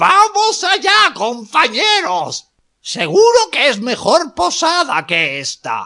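Someone puts on a character voice, pitched high and delivered at a very slow pace. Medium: read story. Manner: indignant, then hearty and encouraging.

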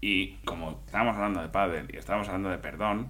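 Fairly low male voice with vocal fry and a bright, sharp tone, fairly quick, in audible room echo. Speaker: comedy podcast co-host. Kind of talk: comedy sketch, parody radio call-in show.

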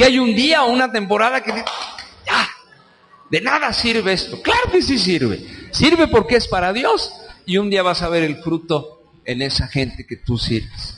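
An animated man in a Mexican accent, high-pitched, with very wide pitch swings and noticeable background noise. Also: fairly slow pace. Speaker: preacher. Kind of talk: sermon. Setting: church. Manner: animated, conversational, colloquial; direct, exhorting the congregation.

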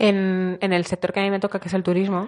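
A woman speaks in a Madrid accent. The background is quiet. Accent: Madrid-area Spanish. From Spain, Azuqueca de Henares (Guadalajara). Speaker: tourism worker and animal sanctuary volunteer. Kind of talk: casual chat.

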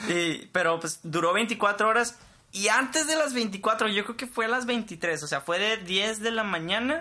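Amid noticeable background noise, a high-pitched man speaks in a raised, projected voice at a fairly slow pace with lively intonation. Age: 20s. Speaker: podcast co-host, engineering graduate. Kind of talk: casual chat. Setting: home studio in a bedroom. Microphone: cheap equipment.

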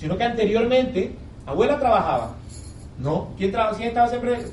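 A high-pitched man at a moderate pace with an animated tone and ordinary pitch variation, plus audible room echo and noticeable background noise. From Colombia, Barranquilla. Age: 30s. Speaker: network marketing speaker. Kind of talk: business presentation to live audience. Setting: hotel event room with audience.

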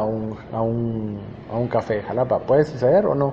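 A man speaks fairly slowly. Noticeable background noise is audible around him. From Guatemala, Huehuetenango. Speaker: video channel host. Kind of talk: interview. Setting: cupping laboratory. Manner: halting, many repetitions.

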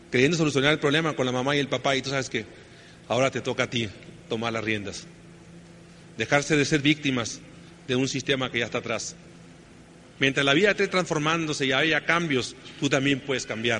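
A man's fairly high voice at a very fast pace, with ordinary pitch variation and long, frequent pauses. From northern Mexico, Sonora. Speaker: network marketing speaker. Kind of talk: motivational talk.

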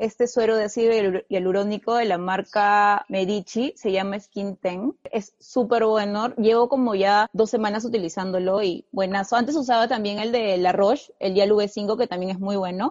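A woman with a normal speaking voice and medium pitch talks at a moderate pace with fairly even intonation and hardly any pauses. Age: 20s. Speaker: fashion content creator. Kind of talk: casual interview. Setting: video podcast.

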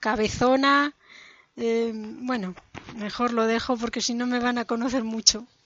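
At a fairly slow pace, a woman with a fairly high pitch talks in a monotone, flat intonation. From Madrid, Spain. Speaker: podcast co-host. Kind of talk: casual chat.

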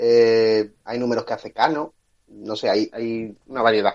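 At a very slow pace, a man speaks with medium pitch. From Andalusia (Cádiz, El Puerto de Santa María). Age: 20s. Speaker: graphic designer. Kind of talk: casual chat.

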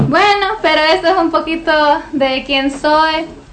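A woman at a very slow pace with fairly even intonation, amid audible room echo and noticeable background noise. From US, Washington state (Lacey), Mexican parents. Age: young. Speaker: church receptionist, guest speaker. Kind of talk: testimony.

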